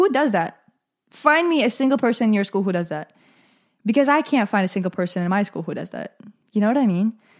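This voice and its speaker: On a very clean recording with a silent background, a woman sounds animated, using a fairly high pitch, lively intonation and a fairly quick pace. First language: not English. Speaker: podcast host. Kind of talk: solo vlog-style monologue.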